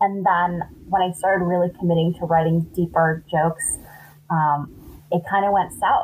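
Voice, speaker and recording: A woman with an American accent speaks at a moderate pace in a fairly low pitch, her intonation flat and monotone, with noticeable background noise. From Los Angeles, San Fernando Valley. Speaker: stand-up comedian. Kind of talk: casual chat.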